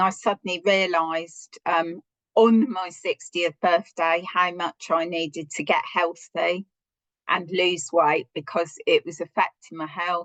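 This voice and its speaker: A woman with a British accent speaks at a fairly slow pace and fairly even intonation in a dry, close sound with no echo. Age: 60s. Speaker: social worker. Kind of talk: interview testimony.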